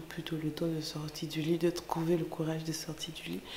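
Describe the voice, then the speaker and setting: A soft-spoken woman talks at a fairly quick pace in a very deep, low pitch with monotone, flat intonation, over noticeable background noise. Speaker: lifestyle vlogger, mother. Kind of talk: casual vlog narration. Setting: at home, early morning. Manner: hesitant, many fillers.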